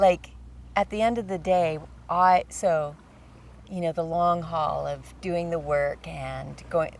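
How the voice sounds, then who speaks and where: With long, frequent pauses, a woman speaks at a very slow pace. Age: 60s. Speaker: podcast co-host. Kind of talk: casual chat.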